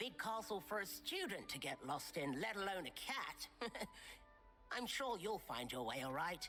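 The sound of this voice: In a put-on character voice, a man speaks at a moderate pace with a high, nasal pitch that swings very widely, his loudness very even, as clear music plays in the background.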